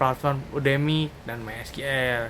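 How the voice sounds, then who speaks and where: A man in a plain, everyday voice speaks at a fairly high pitch with fairly even intonation. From Indonesia, Karawang, West Java. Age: 20s. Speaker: fresh graduate job applicant. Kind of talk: video resume self-introduction.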